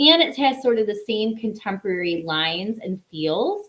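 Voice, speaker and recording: A woman in a strong Chicago accent speaks with very wide pitch swings. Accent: thick Chicago. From Chicago, US Midwest. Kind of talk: live sales stream. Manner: casual, chatty with filler words.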